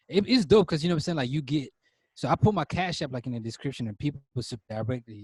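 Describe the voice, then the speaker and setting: Here a man talks at a very fast pace with lively intonation. His voice is somewhat breathy. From Cameroon (Northwest, Anglophone region). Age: 20s. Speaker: author and musician. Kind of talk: podcast interview. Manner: casual, filler-heavy.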